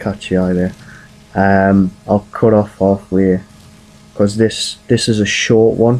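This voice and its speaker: A man speaks quietly in a fairly low voice with monotone, flat intonation. Noticeable background noise is present. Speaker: gaming video creator. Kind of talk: game walkthrough commentary. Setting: home at night. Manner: quiet, keeping voice down; casual, hesitant with fillers.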